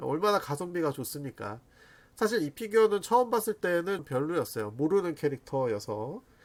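Pitched fairly high, a man talks at a fairly slow pace with very wide pitch swings. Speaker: figure review YouTuber. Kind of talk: casual product roundup. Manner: chatty, animated.

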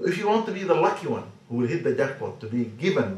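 A man at a very fast pace, lively in intonation, with audible room echo. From Sudan. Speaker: Islamic scholar. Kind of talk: religious talk to camera. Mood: earnest, calm exhortation. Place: home room.

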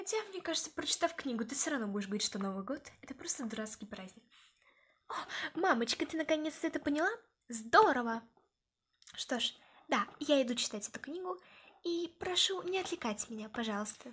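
A woman speaks at a high pitch and a fairly quick pace. Her voice makes very wide pitch swings and big swings in loudness. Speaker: toy storyteller voicing characters. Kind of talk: voiced toy role-play story. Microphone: phone near.

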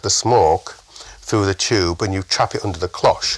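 Noticeable background noise sits under a man with a northern English accent. He speaks at a moderate pace in a fairly low voice. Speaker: chef, podcast guest.

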